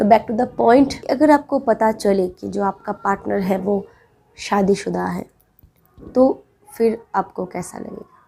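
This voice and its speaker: A woman with a Bengali accent speaks at a medium pitch with ordinary pitch variation and a dark, mellow tone. Her loudness swings widely, and vocal fry comes through. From Bengal, India. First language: Bengali (speaking Hindi). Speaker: relationship advice vlogger. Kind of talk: advice monologue to camera.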